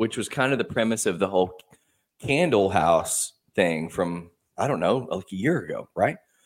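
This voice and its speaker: Lively intonation marks this man's medium-pitched speech at a moderate pace. He has a plain, everyday voice. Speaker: podcast co-host. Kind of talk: casual chat.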